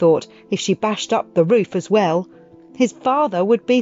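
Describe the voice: Plain reading aloud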